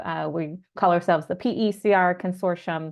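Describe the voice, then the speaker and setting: A woman speaks at a moderate pace with an American accent, using an ordinary speaking voice at a medium pitch and fairly even intonation. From Southern California. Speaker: climate researcher and campaigner. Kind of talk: webinar self-introduction.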